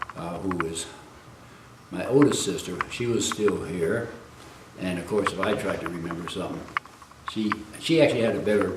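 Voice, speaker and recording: A man with an American accent talks at a moderate pace in a fairly low voice with ordinary pitch variation. Noticeable background noise and audible room echo are present. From US, early childhood in China. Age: 80s+. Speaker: elderly man recounting family history. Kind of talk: interview.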